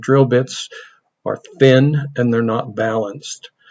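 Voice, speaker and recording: Speaking with fairly even intonation, a man keeps to a fairly slow pace. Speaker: CNC woodworking instructor. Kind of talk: software tutorial. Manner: casual, thinking aloud.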